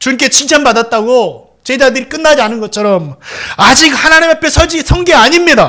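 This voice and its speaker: Speaking at a moderate pace in a raised, projected voice, a man with an extremely high pitch keeps his loudness very even and his tone bright and sharp. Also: ordinary pitch variation. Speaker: pastor. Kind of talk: sermon. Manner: halting, self-described as clumsy.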